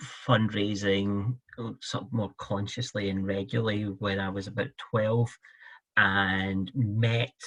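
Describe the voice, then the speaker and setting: This man's voice is fairly low, with ordinary pitch variation. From Scotland. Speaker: fundraising director. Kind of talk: interview.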